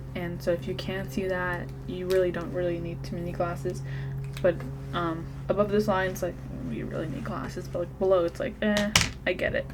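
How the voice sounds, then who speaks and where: A soft-spoken woman talks with a playful tone at a fairly quick pace. Music plays in the background. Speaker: ASMR creator doing a doctor roleplay. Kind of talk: ASMR medical roleplay, soft-spoken talk to the viewer. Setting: close-mic ASMR recording. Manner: soft-spoken, playful, chatty.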